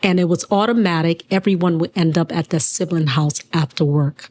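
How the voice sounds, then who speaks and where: The voice has a dark, mellow tone, heard dry and close with no echo. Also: woman. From Liberia, then DC area from age nine. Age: 50s. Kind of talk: interview.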